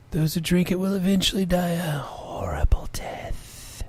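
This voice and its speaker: A man's husky, breathy put-on character voice at a fairly slow pace. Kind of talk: comic fanfiction dramatic reading. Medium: read story. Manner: slow, solemn.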